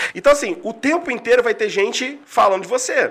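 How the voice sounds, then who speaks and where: A man's raised, projected voice at a fairly quick pace, with very wide pitch swings and noticeable background noise. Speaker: coach and mentor. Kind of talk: casual interview chat. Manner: talkative.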